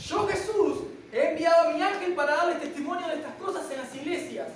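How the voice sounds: Audible room echo surrounds a woman speaking at a fairly quick pace with ordinary pitch variation and an extremely high pitch.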